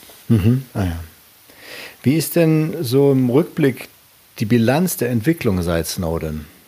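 A man's dark, mellow voice at a medium pitch, very slow, with very wide pitch swings and long, frequent pauses. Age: 50s. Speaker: podcast host. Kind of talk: interview. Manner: halting.

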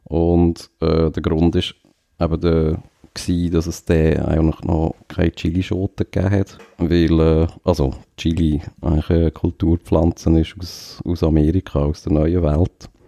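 A man's very deep, low voice, dark and mellow, monotone and flat, at a fairly slow pace, with a dry, close sound and no echo. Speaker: podcast co-host. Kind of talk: casual chat. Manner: hesitant with many fillers.

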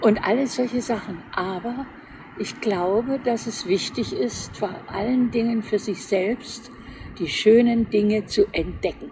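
A woman talks very slowly at a fairly high pitch. Noticeable background noise sits behind her. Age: 80s+. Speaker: retired interior architect. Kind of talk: casual chat.

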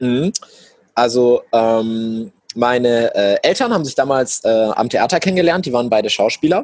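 With ordinary pitch variation and a moderate pace, a plain, everyday voice carries the speech. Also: man, medium pitch for a man. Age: young. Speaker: entrepreneur. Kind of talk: interview.

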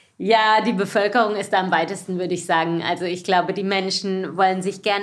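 Her voice is an ordinary speaking voice, a woman at medium pitch with fairly even intonation. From southwestern Germany, Baden-Baden. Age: 40s. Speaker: cycling association executive. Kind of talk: casual interview. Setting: office.

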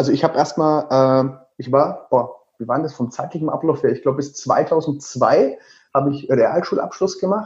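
Somewhat breathy and fairly high in pitch, a man with a Franconian accent speaks at a moderate pace with ordinary pitch variation. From Lower Franconia, Germany (Würzburg). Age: 30s. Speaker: travel blogger and author. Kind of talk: interview.

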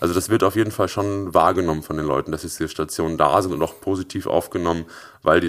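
Here a man with a very deep, low pitch speaks at a very fast pace. His voice has vocal fry and ordinary pitch variation. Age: 20s. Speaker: startup founder. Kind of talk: interview.

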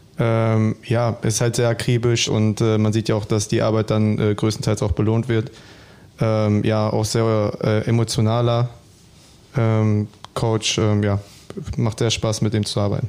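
A man with a fairly low pitch speaks in a monotone, flat way at a fairly slow pace. His loudness stays very even, and he takes long, frequent pauses. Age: 20s. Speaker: footballer. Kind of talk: casual chat.

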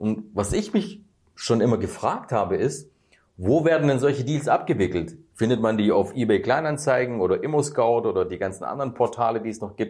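At a fairly quick pace, a somewhat breathy man speaks with lively intonation. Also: medium pitch for a man. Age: 30s. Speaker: real estate YouTuber. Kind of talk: casual interview.

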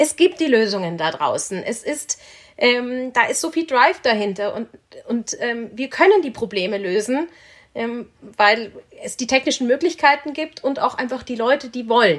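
Lively intonation in a woman's high voice. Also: moderate pace. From Munich, Bavaria. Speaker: business angel investor. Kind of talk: podcast interview.

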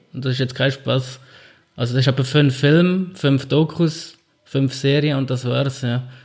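A somewhat breathy male voice at medium pitch, fairly slow in pace, with fairly even intonation. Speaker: podcast co-host. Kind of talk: casual chat.

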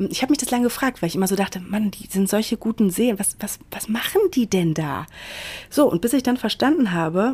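Somewhat breathy and medium in pitch, a woman speaks at a very fast pace with lively intonation. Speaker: podcast host, self-development coach. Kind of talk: solo podcast monologue. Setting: hotel room in quarantine.

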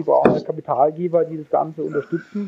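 The man's fairly high voice stays in a monotone, flat intonation. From Baden, Karlsruhe. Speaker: engineer and startup founder. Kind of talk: interview. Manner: hesitant, many fillers.

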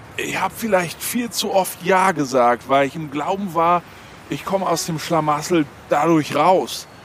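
A high-pitched man talks at a fairly slow pace with ordinary pitch variation over noticeable background noise. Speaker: legal expert interviewee. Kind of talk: interview commentary.

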